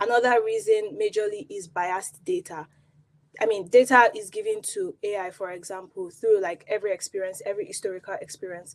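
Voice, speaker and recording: A woman with a Nigerian accent talks at a fairly quick pace, with big swings in loudness. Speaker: product designer. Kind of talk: conference talk.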